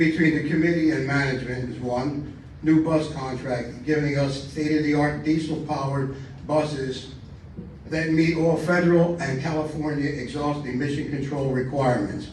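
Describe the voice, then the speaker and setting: Amid noticeable background noise and audible room echo, a man with a fairly high pitch speaks in a monotone, flat intonation. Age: 80s+. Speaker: community election candidate. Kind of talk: campaign speech. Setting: community meeting with microphone. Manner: halting, with repetitions.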